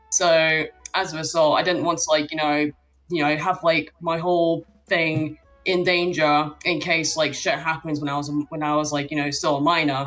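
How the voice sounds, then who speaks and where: A woman speaks in a very deep, low voice with monotone, flat intonation. Music plays in the background. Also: moderate pace. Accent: British. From Britain. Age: 20s. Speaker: caller. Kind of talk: casual chat. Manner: hesitant, many fillers.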